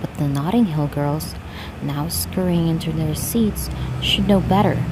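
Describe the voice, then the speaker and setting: A woman whispers at a moderate pace. Noticeable background noise sits behind her. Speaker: ASMR reader. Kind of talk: read-aloud story, ASMR. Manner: whispered.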